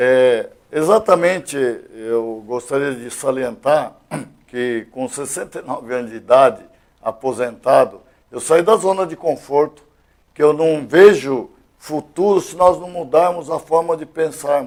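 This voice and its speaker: An unremarkable speaking voice from a man, fairly high in pitch, with lively intonation. He goes at a fairly slow pace, with big swings in loudness. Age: 60s. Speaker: retired police colonel, elected state deputy. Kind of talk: interview.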